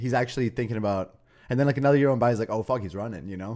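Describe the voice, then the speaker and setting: A man talks very fast with an American accent and ordinary pitch variation in a very clean recording with a silent background. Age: 30s. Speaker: stand-up comedian. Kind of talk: casual chat.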